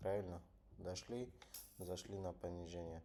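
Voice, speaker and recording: A man with a non-native accent, a very deep, low pitch, a dark, mellow tone and fairly even intonation. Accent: non-native Russian. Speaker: trader. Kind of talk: live trading tutorial. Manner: halting.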